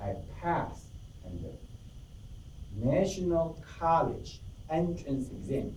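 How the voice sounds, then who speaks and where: A man with a fairly high pitch speaks at a very slow pace, with vocal fry and very wide pitch swings. Audible room echo surrounds his voice. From Taiwan. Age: 50s. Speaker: club member giving a speech. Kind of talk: prepared speech. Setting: club meeting with audience.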